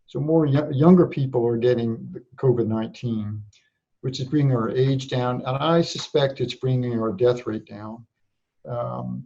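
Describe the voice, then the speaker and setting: A man's somewhat breathy voice at medium pitch, dark and mellow in tone, with ordinary pitch variation and a fairly slow pace. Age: 60s. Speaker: public health director. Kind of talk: interview. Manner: halting.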